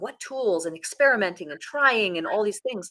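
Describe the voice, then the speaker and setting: A woman talks very fast at medium pitch, her voice making very wide pitch swings. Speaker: public speaker and podcast coach. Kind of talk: interview. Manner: varied intonation, expressive.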